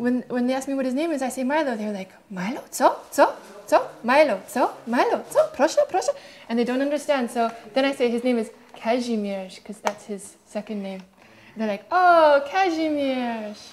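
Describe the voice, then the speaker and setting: A high-pitched woman's voice at a moderate pace, with lively intonation, big swings in loudness and music in the background. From Canada. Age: 30s. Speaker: street accordionist. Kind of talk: documentary interview monologue.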